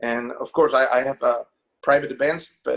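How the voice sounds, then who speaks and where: A man talks with a Spanish accent. His pace is fairly slow. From Mexico. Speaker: songwriter and musician. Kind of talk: interview.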